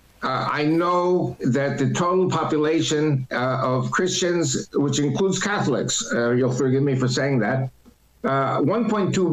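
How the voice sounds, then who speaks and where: Over noticeable background noise, a man with a fairly high pitch and ordinary pitch variation speaks at a fairly slow pace with very even loudness. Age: 70s. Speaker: political commentator and church speaker. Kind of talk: interview.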